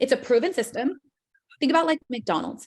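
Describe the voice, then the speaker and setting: A woman with a high-pitched voice. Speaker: financial services business trainer. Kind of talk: training presentation demonstrating a recruiting pitch. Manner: fast; casual, filler-heavy.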